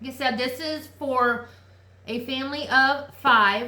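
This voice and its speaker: In a room with audible echo, a woman projects a raised, high voice with a bright, sharp tone. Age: 40s. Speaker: lifestyle vlogger. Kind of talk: casual chat. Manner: animated.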